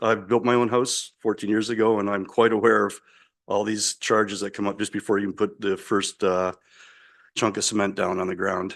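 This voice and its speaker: In an ordinary speaking voice, a man talks at a fairly quick pace and fairly low pitch with fairly even intonation against a quiet background. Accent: Canadian. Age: 60s. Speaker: resident speaking at council. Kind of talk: public comment at council meeting.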